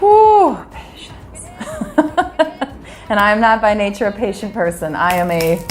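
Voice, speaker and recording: Over music in the background and audible room echo, a woman with an American accent speaks at a very slow pace and a medium pitch, with ordinary pitch variation, big swings in loudness and long, frequent pauses. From US Midwest, Wisconsin. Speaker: singer. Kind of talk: interview. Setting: Trinidad.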